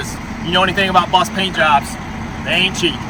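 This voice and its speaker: A man talks loudly at a very fast pace. Noticeable background noise is present. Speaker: bus salesman. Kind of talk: sales walkaround tour. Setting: outdoors on a gravel lot. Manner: casual, with fillers.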